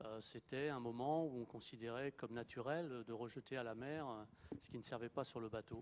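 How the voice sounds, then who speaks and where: Speaking at a moderate pace, a man has an ordinary speaking voice, medium pitch and ordinary pitch variation. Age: 60s. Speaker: retired sailing skipper. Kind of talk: panel testimony.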